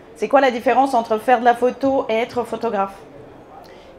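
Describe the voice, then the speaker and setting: A woman speaks at a fairly high pitch, with noticeable background noise behind her. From Bulgaria. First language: Bulgarian (speaking French). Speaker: photographer. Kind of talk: conference talk. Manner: hesitant, many fillers.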